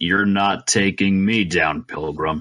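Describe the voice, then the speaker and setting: A man puts on a character voice that is very deep and low. He speaks at a fairly slow pace. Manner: gruff, tough.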